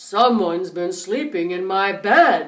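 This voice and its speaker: A woman puts on a raspy character voice at a medium pitch, speaking at a fairly slow pace. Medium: read story.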